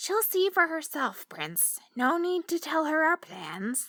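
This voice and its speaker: A woman does a croaky, put-on character voice at an extremely high pitch and a fairly slow pace, in a very clean recording with a silent background. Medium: read story. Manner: cool, commanding.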